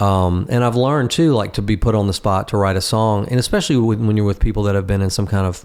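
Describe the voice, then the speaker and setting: A man at a fairly low pitch, fairly quick in pace, with fairly even intonation. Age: 60s. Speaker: musician. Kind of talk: casual chat. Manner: halting.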